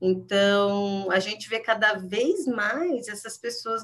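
Very slowly, a woman speaks at a medium pitch with lively intonation. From interior of São Paulo state, Jundiaí region. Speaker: psychology professor. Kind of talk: interview.

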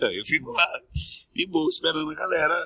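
This man's tone is bright and sharp, touched with vocal fry. He talks at a moderate pace. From Mato Grosso, Brazil. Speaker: singer, composer and TV presenter. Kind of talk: casual interview chat.

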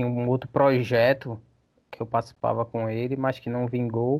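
Here a man speaks with a medium pitch and monotone, flat intonation. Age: 30s. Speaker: vocalist of a hardcore band. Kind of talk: casual chat.

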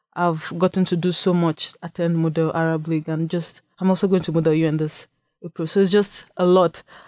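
In a very clean recording with a silent background and dry, close sound with no echo, a woman speaks. Her fairly low voice has a dark, mellow tone and monotone, flat intonation. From Nigeria. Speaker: university student. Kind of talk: radio interview. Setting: radio studio.

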